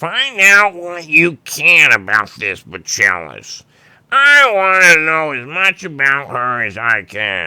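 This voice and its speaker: A man uses a put-on character voice pitched fairly high. He speaks at a fairly slow pace. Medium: read story. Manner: imperious.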